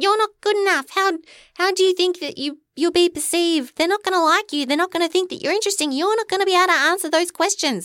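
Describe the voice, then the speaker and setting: A put-on character voice squeaks at an extremely high pitch, very fast and with hardly any pauses. The recording is very clean, with a silent background. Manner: silly and belittling.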